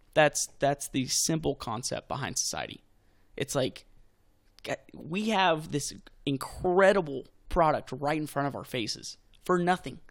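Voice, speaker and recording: At a fairly slow pace, a man with an American accent speaks in a plain, everyday voice, with ordinary pitch variation, on a very clean recording with a silent background. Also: fairly high pitch for a man. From Texas. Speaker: brewery owner. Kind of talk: casual interview.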